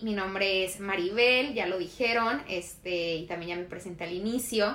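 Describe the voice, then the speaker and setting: Over noticeable background noise, a woman speaks at medium pitch and a moderate pace with fairly even intonation. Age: 20s. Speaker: podcast co-host. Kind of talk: casual chat.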